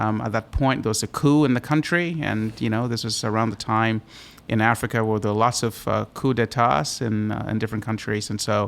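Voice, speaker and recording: Speaking with an American accent, a man has a medium pitch and ordinary pitch variation. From Botswana and Ghana. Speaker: chemistry professor. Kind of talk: interview. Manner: halting, many fillers.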